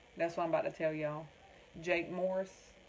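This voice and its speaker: A woman with a Southern US accent over noticeable background noise. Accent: Southern US, country. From North Carolina (Wilmington). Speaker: crafter demonstrating tumbler making. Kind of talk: livestream chat with viewers. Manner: animated.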